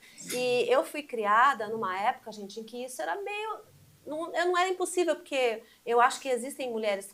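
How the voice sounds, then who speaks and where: Very wide pitch swings mark this woman's fairly quick speech. Her recording is very clean, and the background is silent. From Brazil, Mogi das Cruzes, São Paulo state. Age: 60s. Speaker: journalist. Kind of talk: casual chat.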